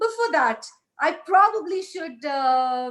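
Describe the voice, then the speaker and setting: A woman speaks in a raised, projected voice with a bright, sharp tone. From India, Hyderabad. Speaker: satellite entrepreneur, motivational speaker. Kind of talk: motivational talk. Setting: virtual ceremony, recorded remotely. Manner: loud; animated.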